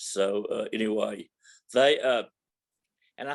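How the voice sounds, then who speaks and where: Against a quiet background, a man talks with a Texan accent. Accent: Texan Southern US. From Texas, Dallas (Oak Cliff). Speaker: church member. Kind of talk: testimony. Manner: halting.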